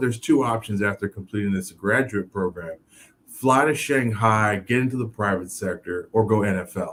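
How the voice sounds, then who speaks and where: With an American accent, a man talks at a moderate pace in an unremarkable speaking voice, medium in pitch with ordinary pitch variation. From Miami, Florida (Haitian family, born New York). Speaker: former pro football player, author and speaker. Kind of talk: interview. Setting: live video show. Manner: many fillers (um, you know).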